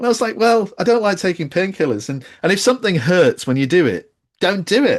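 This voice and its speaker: A man with a British accent speaks at a fairly quick pace and a high pitch. His pitch swings very widely. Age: 50s. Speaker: accessibility designer. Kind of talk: casual chat.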